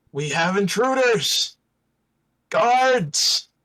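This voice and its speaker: A man's loud, high, put-on character voice with very wide pitch swings. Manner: barking, loud.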